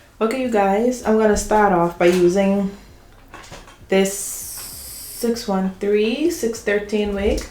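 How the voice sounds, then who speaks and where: A woman talking at a very slow pace, with audible room echo. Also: medium pitch for a woman, ordinary pitch variation. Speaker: beauty YouTuber. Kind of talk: tutorial.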